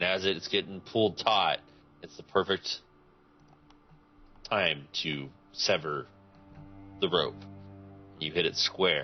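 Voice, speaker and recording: A man puts on a character voice that is raspy and very deep, low. He talks fairly slowly with ordinary pitch variation. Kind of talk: tabletop game master narration. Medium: actual play. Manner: casual, halting.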